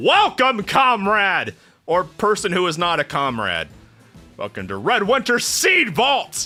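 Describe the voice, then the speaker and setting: Faint music plays in the background as a man uses a robotic, put-on character voice at a high pitch. He goes at a fairly slow pace. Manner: polite, welcoming.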